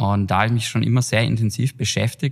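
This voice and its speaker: This man talks at a fairly quick clip with fairly even intonation in an unremarkable speaking voice. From Germany, Heilbronn area (Baden-Württemberg). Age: 30s. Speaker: trend researcher and consultancy director. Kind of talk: podcast interview. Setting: in person together.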